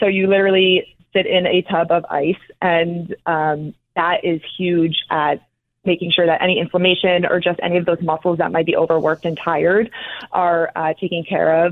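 A woman's fairly low voice with an American accent, very even loudness, monotone, flat intonation and a moderate pace. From New Jersey, North Caldwell. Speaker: professional dancer. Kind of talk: interview.

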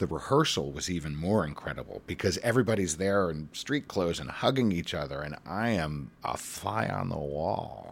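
This man's very deep, low voice, roughly edged with vocal fry, swings very widely in pitch at a moderate pace with hardly any pauses. The recording is very clean, with a silent background. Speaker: Broadway actor. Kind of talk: interview.

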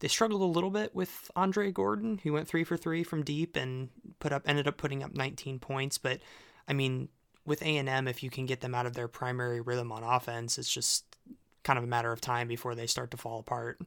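With an ordinary speaking voice, a man talks at a fairly quick pace with lively intonation on a very clean recording with a silent background. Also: medium pitch for a man. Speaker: substitute co-host and site editor. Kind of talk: casual sports podcast discussion.

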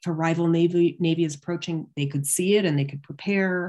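A woman's fairly low voice with a Canadian accent, a plain, everyday voice at a fairly quick pace, on a very clean recording with a silent background. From Canada (London, Ontario). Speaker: history professor. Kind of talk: academic interview.

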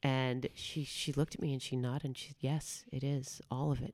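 A woman with an American accent speaks at a fairly quick pace in a very deep, low voice, her tone dark and mellow and her intonation flat and monotone. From New York, Bronx and southern Westchester. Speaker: musical theater performer and impressionist. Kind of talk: interview.

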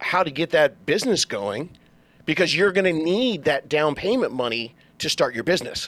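His pitch is high, with very wide pitch swings. The man talks at a fairly slow pace. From Southern California, Orange County. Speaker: real estate agent. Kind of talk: casual interview.

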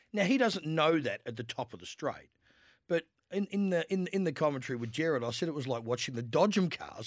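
On a very clean recording with a silent background and a dry, close sound with no echo, a man with an Australian accent speaks at a fairly high pitch with lively intonation. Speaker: horse trainer. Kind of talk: radio sports panel chat.

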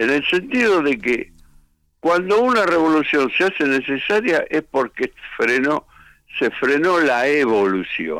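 A man in a Rioplatense accent makes very wide pitch swings while holding a very even loudness. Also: fairly high pitch for a man, fairly slow pace. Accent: Rioplatense Spanish (porteño). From Buenos Aires, Argentina. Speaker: rock musician. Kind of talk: interview.

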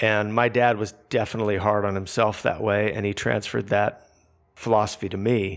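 On a very clean recording with a silent background, a man with a West Coast US accent talks in a fairly low pitch with monotone, flat intonation. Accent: General American (West Coast). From Southern California. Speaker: photographer and interviewer. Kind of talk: interview conversation.

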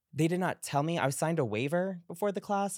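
A man with an American accent at a fairly quick pace, dry and close with no echo, on a very clean recording with a silent background. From US Northeast, Long Island. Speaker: pop culture commentator. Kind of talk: casual chat.

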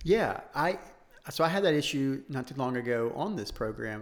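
A man of medium pitch at a moderate pace, ordinary pitch variation, audible room echo around him. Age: 30s. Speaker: fitness podcast co-host. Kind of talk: casual chat.

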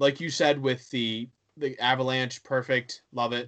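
A man with a normal speaking voice, medium in pitch, with fairly even intonation and a fairly slow pace. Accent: American. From western Pennsylvania (Johnstown). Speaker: hockey blog writer. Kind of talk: casual chat.

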